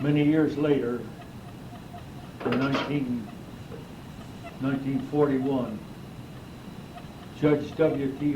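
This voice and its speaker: Audible room echo and noticeable background noise surround a man's voice. He speaks at a medium pitch and a fairly slow pace. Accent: American. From northern California. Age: 80s+. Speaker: local old-timer. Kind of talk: oral history interview. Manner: halting.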